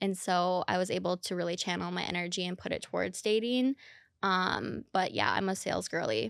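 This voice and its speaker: A woman with a slight Minnesota accent talks at medium pitch with lively intonation. The recording is very clean, with a silent background. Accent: slight Minnesotan, heard in O sounds. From Minnesota, Minneapolis. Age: 30s. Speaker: dating influencer. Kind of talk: podcast interview.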